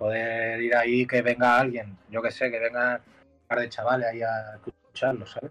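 This man's voice is mid-pitched and moves at a moderate speed. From Mallorca, Spain. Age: 20s. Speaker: musician. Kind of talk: casual chat. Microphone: headphones removed, speaking without earphones.

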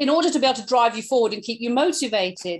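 Against a quiet background, a woman with an English accent speaks in a high pitch with lively intonation. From England. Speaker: podcast co-host, online entrepreneur. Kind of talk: casual chat.

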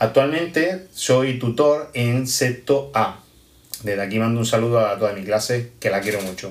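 At a medium pitch with ordinary pitch variation, a man talks in an unremarkable speaking voice. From Almería, Spain. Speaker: primary school teacher. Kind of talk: pre-recorded audio message.

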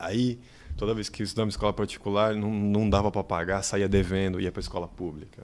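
A man speaks in an unremarkable speaking voice at a fairly low pitch. His pace is fairly quick and his intonation fairly even. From Bahia backcountry, raised in São Paulo. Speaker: funk researcher and content creator. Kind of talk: casual chat.

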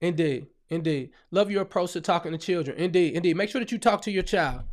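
A man speaks at a high pitch in an animated tone, with lively intonation. His fairly quick delivery comes through in a very clean recording with a silent background. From US Midwest, St. Louis, Missouri. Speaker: ministry leader and radio host. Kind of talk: live stream Q&A and message.

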